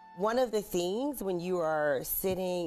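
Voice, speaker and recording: Clear background music accompanies a woman's voice. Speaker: guest life coach. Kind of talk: interview answer. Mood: warm, upbeat. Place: studio. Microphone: lapel.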